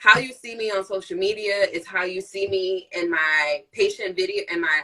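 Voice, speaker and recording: A woman's delivery has ordinary pitch variation and a moderate pace. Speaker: nurse practitioner and live-stream host. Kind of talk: casual chat. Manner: animated.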